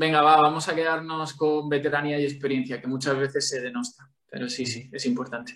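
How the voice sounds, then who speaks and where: Speaking with an ordinary speaking voice, a man moves at a fairly quick pace with hardly any pauses, fairly even intonation and a fairly high pitch. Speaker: sports journalist and football commentator. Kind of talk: casual interview chat.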